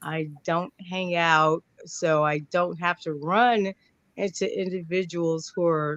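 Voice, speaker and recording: The speaker has an American accent and fairly even intonation. The pace is very slow. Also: woman, fairly low pitch for a woman. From New York. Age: 60s. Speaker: panelist in political work. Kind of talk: panel discussion.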